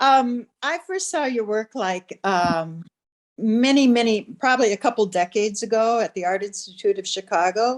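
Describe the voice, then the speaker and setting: A woman speaks with a Minnesotan accent at a moderate pace. Her fairly high voice carries lively intonation. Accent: Minnesota. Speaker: textile artist, audience member. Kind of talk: audience question. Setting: video call.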